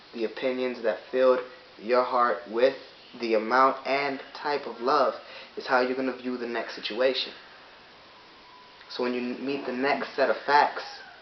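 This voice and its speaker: Moderate pace, with noticeable background noise. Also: man. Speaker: vlogger giving a philosophical talk. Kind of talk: unscripted monologue.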